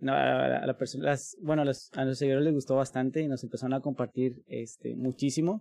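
The dark, mellow voice moves at a fairly slow pace with hardly any pauses and fairly even intonation, the sound dry and close with no echo. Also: man, medium pitch for a man. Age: 30s. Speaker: linguist and language school director. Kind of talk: casual interview conversation.

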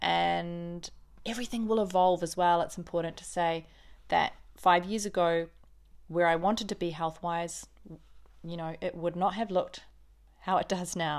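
Someone with a New Zealand accent talks at a moderate pace, keeping the intonation fairly even. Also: woman, very clean recording, silent background. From New Zealand, Auckland. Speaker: podcast host, vegan lifestyle. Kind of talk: casual monologue.

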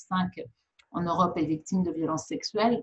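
The voice carries vocal fry and ordinary pitch variation. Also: woman. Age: 60s. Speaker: physician. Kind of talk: interview. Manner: halting, frequent repetitions.

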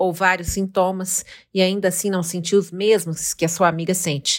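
A woman with a medium pitch speaks at a moderate pace in a monotone, flat intonation, on a very clean recording with a silent background. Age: 50s. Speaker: podcast host. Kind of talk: scripted narration.

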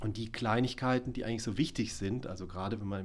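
There is audible room echo around a man speaking at a fairly low pitch. His intonation stays fairly even. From southern Palatinate, Germany. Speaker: video artist and musician. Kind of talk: interview.

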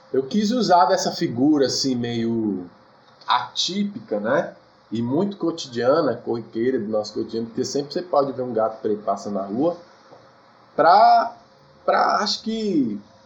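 A man at medium pitch, fairly slow, with very wide pitch swings, long and frequent pauses, and noticeable background noise. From Brazil, Federal District (Brasília outskirts). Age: 20s. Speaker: singer-songwriter. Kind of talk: casual interview.

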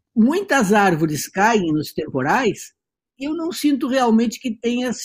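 This man's voice is extremely high-pitched and swings very widely in pitch, moving at a very slow pace. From Brazil, Rio Grande do Sul (Santana do Livramento). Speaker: journalist and writer. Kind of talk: casual chat.

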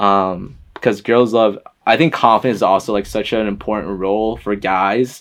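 A man speaks in a normal speaking voice with an American accent. His pitch is fairly low, his intonation fairly even and his pace moderate. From US Northeast (Boston, then Connecticut). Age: 20s. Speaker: podcast guest, photographer. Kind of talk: casual chat.

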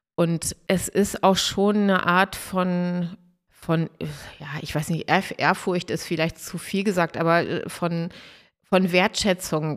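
Speech comes at a very slow pace with fairly even intonation on a very clean recording with a silent background. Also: woman. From northern Germany, Dangast (Friesland). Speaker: restaurant owner from a family business. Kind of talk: interview.

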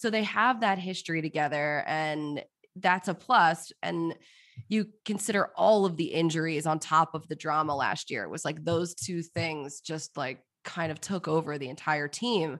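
A woman with an American accent, fairly low pitch, ordinary pitch variation and a moderate pace. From Philadelphia, US. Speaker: sports TV host. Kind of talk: casual chat. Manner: animated.

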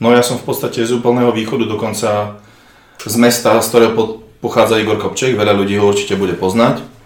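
At a fairly quick pace yet with long, frequent pauses, a man with medium pitch speaks in a flat monotone, with audible room echo and noticeable background noise. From eastern Slovakia. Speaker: bodybuilder. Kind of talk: casual interview.

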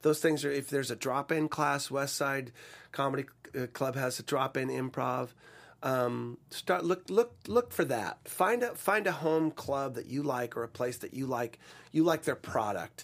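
On a very clean recording with a silent background, a man talks at a moderate pace in an ordinary speaking voice, fairly high in pitch, with ordinary pitch variation. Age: 50s. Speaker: voice-over and commercial actor. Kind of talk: casual interview chat.

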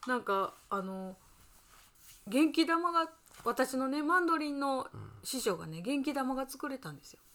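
Pausing long and often at a fairly slow pace, a woman speaks in a high, relaxed voice with very wide pitch swings and big swings in loudness. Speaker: podcast co-host living at a temple. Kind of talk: casual chat.

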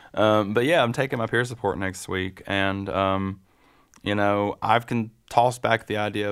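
A man with an American accent speaks at a fairly slow pace and a fairly low pitch. The recording is very clean, with a silent background. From western North Carolina. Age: 30s. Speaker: person in recovery. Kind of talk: casual interview. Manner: halting.

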